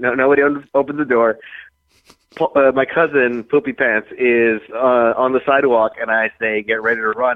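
This is a man speaking. His pitch is medium. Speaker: drinking blogger. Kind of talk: casual chat. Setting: phone call.

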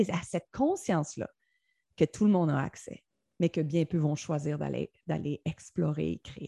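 A somewhat breathy woman's voice with a dark, mellow tone at a moderate pace, dry and close with no echo, over a quiet background. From Quebec, Joliette. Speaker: former TV news anchor, speaker and coach. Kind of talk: interview. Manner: animated.

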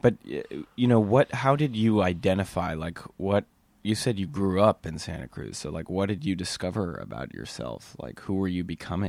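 The recording is very clean, with a silent background. A man with a very deep, low pitch speaks at a moderate pace with lively intonation. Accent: American. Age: 30s. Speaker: podcast host. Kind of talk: casual chat.

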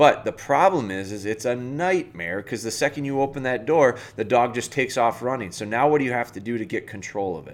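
A man with a normal speaking voice at medium pitch talks with lively intonation on a very clean recording with a silent background. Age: 40s. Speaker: dog trainer and podcast host. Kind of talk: casual solo podcast talk.

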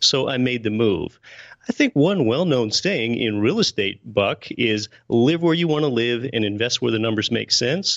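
With lively intonation and a medium pitch, a man talks at a moderate pace in an ordinary speaking voice. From Pennsylvania, US. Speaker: real estate investor and podcast host. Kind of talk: interview.

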